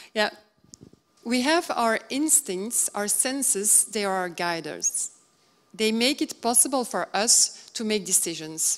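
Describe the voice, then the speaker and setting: A woman's fairly high voice at a fairly slow pace, with lively intonation. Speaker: color consultant and speaker. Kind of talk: conference lecture. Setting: stage with audience. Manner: halting, with frequent fillers.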